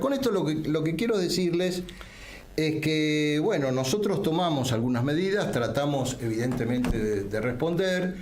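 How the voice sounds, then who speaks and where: A man speaks at a moderate pace in a medium pitch, his voice swinging very widely up and down over noticeable background noise and audible room echo. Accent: Rioplatense. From Argentina. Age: 60s. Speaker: political leader. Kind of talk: political talk show editorial.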